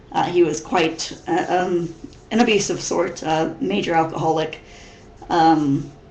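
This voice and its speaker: A woman with an American accent speaks at a fairly low pitch with fairly even intonation. Noticeable background noise and audible room echo are present. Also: fairly slow pace. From US Midwest (Missouri). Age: 30s. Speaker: vlogger. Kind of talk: casual webcam vlog. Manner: halting, many fillers and repetitions.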